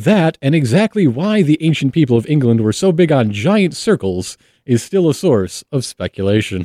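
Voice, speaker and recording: With an American accent and a dark, mellow tone, a man speaks at a moderate pace with very wide pitch swings, very even loudness and hardly any pauses. The sound is dry and close with no echo, on a very clean recording with a silent background. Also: fairly high pitch for a man. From Michigan, US Midwest. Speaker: podcast host and history enthusiast. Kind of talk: casual chat.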